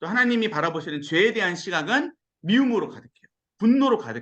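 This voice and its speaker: A man speaks in a raised, projected voice at a high pitch, with a bright, sharp tone. His pitch swings very widely, and his pace is fairly quick. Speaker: pastor. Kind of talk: sermon-style Bible lecture. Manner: fast when excited; animated.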